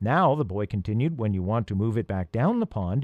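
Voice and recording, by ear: A natural voice reading out loud, its intonation lively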